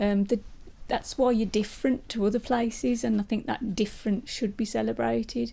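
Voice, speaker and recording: The voice has a dark, mellow tone with vocal fry, fairly even intonation, very even loudness and a moderate pace. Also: woman, fairly high pitch for a woman. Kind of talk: interview answer.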